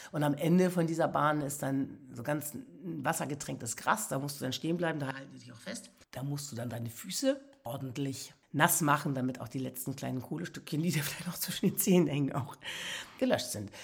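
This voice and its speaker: A woman with a very deep, low pitch speaks at a fairly quick pace in an animated, somewhat breathy voice, with ordinary pitch variation and big swings in loudness. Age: 60s. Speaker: podcast host, motivational speaker. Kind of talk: personal storytelling monologue.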